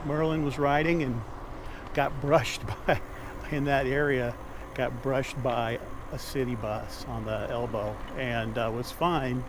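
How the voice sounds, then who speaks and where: A man with an American accent speaks at a medium pitch and a fairly slow pace with fairly even intonation. There is noticeable background noise. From Omaha, Nebraska, USA. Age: 60s. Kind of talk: casual talk to camera. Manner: conversational, with frequent filler words.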